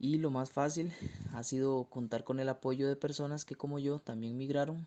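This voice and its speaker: A man's medium-pitched voice with a Costa Rican accent, a dark, mellow tone, fairly even intonation and a moderate pace. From Costa Rica, Turrialba. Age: 20s. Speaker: architecture student. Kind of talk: recorded interview answer.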